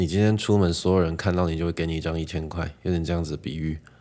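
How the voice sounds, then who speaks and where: A man talks at a very fast pace in a very deep, low voice with a dark, mellow tone and monotone, flat intonation. The recording is very clean with a silent background. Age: 20s. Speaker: podcaster. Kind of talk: storytelling monologue.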